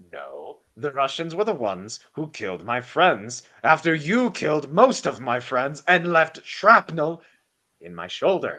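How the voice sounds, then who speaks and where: A man puts on a gravelly character voice, pitched fairly high and spoken at a fairly slow pace. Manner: accusing, bitter.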